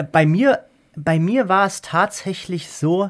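The speech moves at a fairly slow pace with lively intonation. The recording is very clean, with a silent background. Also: man. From Germany. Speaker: law professor. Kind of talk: interview.

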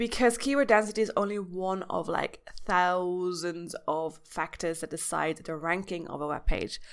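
A woman speaks in an unremarkable speaking voice at medium pitch, with ordinary pitch variation. Her pace is moderate with hardly any pauses, on a very clean recording with a silent background. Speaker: podcast host and blogger. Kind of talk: tutorial. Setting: home recording. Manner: casual, with filler words.

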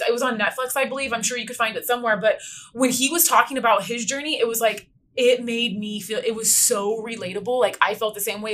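In a Californian accent, a woman talks at a very fast pace with a fairly high pitch. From Inland Empire, Southern California. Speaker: podcast host. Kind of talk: casual chat.

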